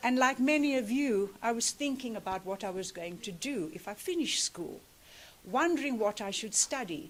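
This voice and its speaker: At a moderate pace, a woman with a South African accent speaks at a fairly high pitch with very wide pitch swings. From South Africa, Cape Flats (Cape Town). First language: Afrikaans. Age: 60s. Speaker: activist speaker. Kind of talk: commemorative speech.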